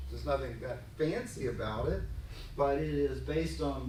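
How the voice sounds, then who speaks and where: With a slight Texan accent, a man speaks at a moderate pace amid audible room echo. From Texas. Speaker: business consultant presenting at a conference. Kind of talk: conference presentation.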